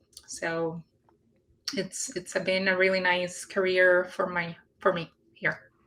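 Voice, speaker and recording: A woman talks at a very slow pace with long, frequent pauses and flat, monotone intonation. Her tone is bright and sharp, with a Puerto Rican accent. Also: medium pitch for a woman. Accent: Puerto Rican Spanish accent, rolled R's. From Puerto Rico. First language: Spanish. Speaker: industry scientist, guest. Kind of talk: live career interview. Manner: hesitant, many fillers.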